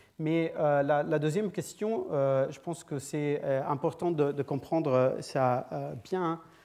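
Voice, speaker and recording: A man speaks at a very slow pace, with hardly any pauses, against a quiet background. His tone is dark and mellow, his pitch fairly high, and his intonation fairly even. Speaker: physicist, guest seminar speaker. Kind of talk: lecture. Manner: halting, many hesitations and repetitions.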